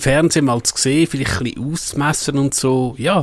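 In a Swiss accent, a man speaks at a moderate pace with a fairly high pitch and ordinary pitch variation. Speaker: tech podcast co-host. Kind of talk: casual chat. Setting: studio.

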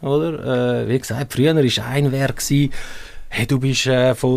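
With a Swiss accent, a man speaks at a fairly high pitch using fairly even intonation. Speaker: football coach. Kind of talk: casual interview.

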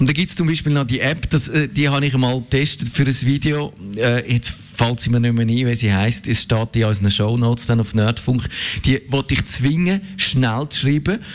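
Over noticeable background noise, a voice with a Swiss accent speaks at a moderate pace with ordinary pitch variation. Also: man, medium pitch for a man. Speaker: tech journalist. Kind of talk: casual chat.

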